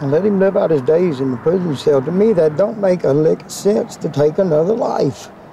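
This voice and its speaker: Noticeable background noise accompanies a man whose moderately paced speech has lively intonation. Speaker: son of a death row inmate. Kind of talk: interview answer.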